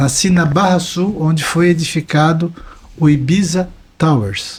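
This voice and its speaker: A man with a high-pitched voice and ordinary pitch variation talks fairly slowly. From Brazil, Santa Catarina coast (Balneário Camboriú). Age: 60s. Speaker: environmental consultant and author. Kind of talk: podcast interview.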